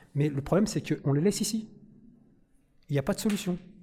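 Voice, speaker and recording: This man talks at a very fast pace with a dark, mellow tone. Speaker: audience member, prison inmate. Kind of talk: audience question. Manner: halting.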